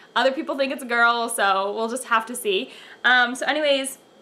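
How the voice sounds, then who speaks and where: The woman's voice is raised and projected, with a bright, sharp tone. She keeps a moderate pace and lively intonation. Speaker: pregnancy vlogger. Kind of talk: casual vlog chat. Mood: cheerful, chatty. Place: home room. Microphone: camera far.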